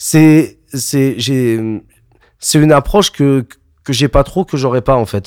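The recording sounds dry and close, without echo. A man speaks in it at a fairly slow pace. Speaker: DJ. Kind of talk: casual chat. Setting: home studio.

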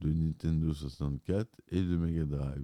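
Very deep and low in pitch, a man speaks with fairly even intonation and a dark, mellow tone. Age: 40s. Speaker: video podcaster doing film and game reviews. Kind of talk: solo scripted commentary.

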